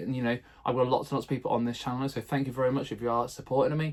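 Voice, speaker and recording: Here is a man with a British accent and a fairly high pitch. He talks at a very fast pace with fairly even intonation. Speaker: primary school teacher and vlogger. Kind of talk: casual vlog tutorial. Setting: garden shed.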